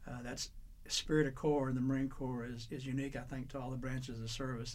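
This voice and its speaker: Monotone, flat intonation at a very fast pace in an Arkansas accent, with audible room echo. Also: man. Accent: US Southern (Arkansas). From Arkansas, Little Rock. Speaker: Vietnam War veteran. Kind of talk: oral history interview. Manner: halting, many fillers.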